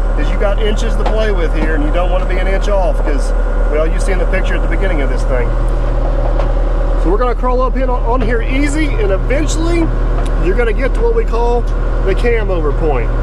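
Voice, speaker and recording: A man rattles along at a very fast pace amid loud background noise, the sound dry with no echo. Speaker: equipment operator trainer. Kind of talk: tutorial. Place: farm machine. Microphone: phone near.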